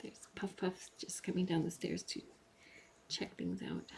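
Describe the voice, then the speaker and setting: The speaker is quiet, moving at a fairly slow pace with long, frequent pauses. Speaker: cat rescue live streamer. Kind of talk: live stream voiceover commentary. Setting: home, in another room during live stream. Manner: talking quietly.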